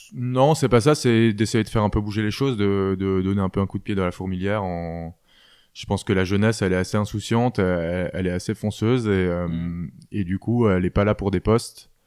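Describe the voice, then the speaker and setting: A man with a plain, everyday voice talks at a fairly quick pace, fairly low in pitch with ordinary pitch variation, in a very clean recording with a silent background. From France, Alsace. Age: 20s. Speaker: apprentice butcher, former finance worker. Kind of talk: interview testimony.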